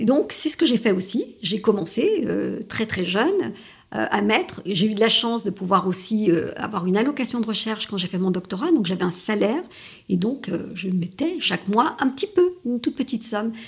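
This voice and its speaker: Fairly high, somewhat breathy woman's voice with lively intonation at a moderate pace. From France and Italy. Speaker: lawyer and strategy consultant. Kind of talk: interview.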